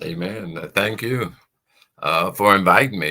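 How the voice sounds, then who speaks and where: With an American accent, a man talks at a fairly slow pace in a bright, sharp tone with vocal fry and lively intonation. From Chicago, South Side. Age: 70s. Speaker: pastor and prison minister. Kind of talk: testimony.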